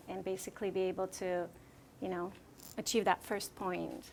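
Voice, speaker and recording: In a Slovak accent, a woman speaks at a medium pitch. Her intonation is fairly even. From Slovakia. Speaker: real estate agent. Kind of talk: interview. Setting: room with audience.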